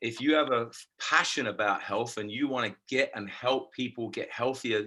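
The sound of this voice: His tone comes across bright and sharp. The man's pace is moderate.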